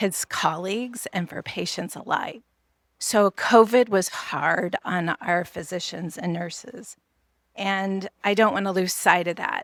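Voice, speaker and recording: Speech comes at a fairly slow pace with ordinary pitch variation. The sound is dry and close, with no echo. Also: woman. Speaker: nurse and healthcare advocate. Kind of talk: conference presentation.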